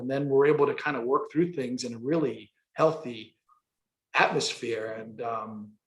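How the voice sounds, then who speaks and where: A man speaks in a somewhat breathy voice with a New York accent. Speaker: construction company president. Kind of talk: interview.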